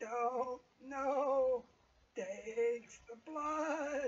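A high-pitched, put-on character voice.

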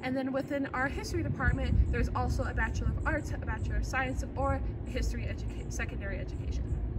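A woman's very fast speech with hardly any pauses, audible room echo, and noticeable background noise. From Arizona, US. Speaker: student tour guide. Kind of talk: campus tour presentation. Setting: walking around campus buildings, partly outdoors.

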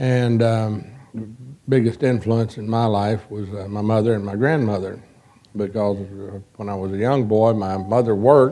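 A man with an American accent speaks at a moderate pace, his pitch fairly low and his tone dark and mellow. His intonation stays fairly even, broken by long, frequent pauses. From Texas, Dallas. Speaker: trial lawyer. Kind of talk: lecture; interview answer. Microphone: lapel.

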